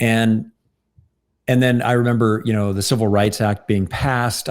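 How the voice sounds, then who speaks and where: A fairly low-pitched man on a very clean recording with a silent background. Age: 60s. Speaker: workshop trainer and interviewer. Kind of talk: casual chat. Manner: halting.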